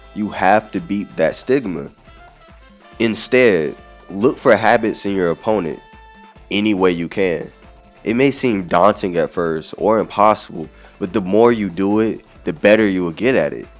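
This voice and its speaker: Over music in the background, the speech moves at a moderate pace with ordinary pitch variation and long, frequent pauses. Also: man, fairly low pitch for a man. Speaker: gaming video essayist. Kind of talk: video essay narration.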